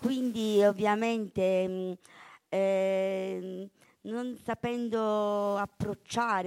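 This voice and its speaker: Recorded very cleanly against a silent background, a woman at a medium pitch sounds dry and close, with no echo. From Basilicata, Italy (Calvello). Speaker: poet and author. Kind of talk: poetry reading and interview.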